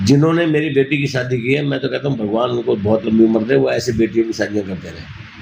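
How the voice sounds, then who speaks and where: Against noticeable background noise, a man with a medium pitch talks at a moderate pace with hardly any pauses and ordinary pitch variation. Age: 60s. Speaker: NGO founder running old age homes. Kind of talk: interview.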